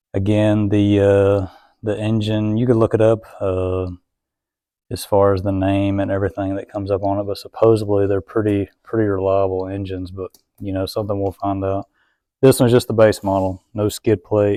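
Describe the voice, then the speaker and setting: Against a quiet background, a man talks in a fairly low, dark and mellow voice with monotone, flat intonation. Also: moderate pace, dry, close sound with no echo. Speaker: motorcycle reviewer. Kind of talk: product review. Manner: casual, halting with fillers.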